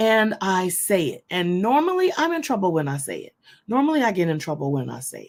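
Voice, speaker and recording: Talking at a fairly quick pace, a woman's voice shows very wide pitch swings and big swings in loudness. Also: medium pitch for a woman. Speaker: online ministry host. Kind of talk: inspirational teaching to an online audience.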